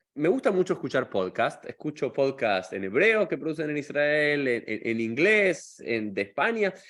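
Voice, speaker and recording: Against a quiet background, a man with a fairly high voice speaks at a fairly slow pace with very wide pitch swings. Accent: Argentine. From Argentina. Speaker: rabbi and podcast host. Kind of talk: interview podcast. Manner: casual, chatty.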